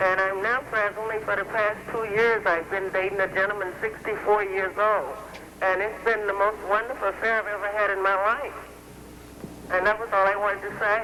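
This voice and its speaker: Against noticeable background noise, a woman speaks at a moderate pace with monotone, flat intonation. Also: medium pitch for a woman. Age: 40s. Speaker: caller. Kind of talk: phone-in call. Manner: halting.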